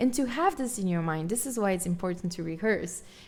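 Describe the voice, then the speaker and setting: A woman speaks in a strong Brazilian accent. Her pitch swings very widely. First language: Portuguese. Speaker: guitarist and livestreamer. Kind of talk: casual live stream chat. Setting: live stream.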